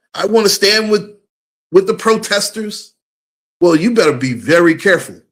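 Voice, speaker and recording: The tone is animated, with ordinary pitch variation and a moderate pace. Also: man. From USA. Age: 50s. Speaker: live streamer, commentator. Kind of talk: live stream commentary. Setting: live stream.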